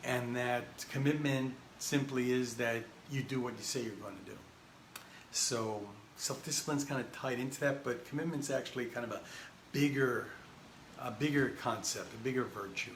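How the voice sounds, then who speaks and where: Pausing long and often, a man speaks at medium pitch with fairly even intonation, with noticeable background noise and audible room echo. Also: moderate pace. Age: 60s. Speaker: spiritual teacher. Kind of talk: talk on spiritual wisdom. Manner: halting, with frequent fillers and restarts.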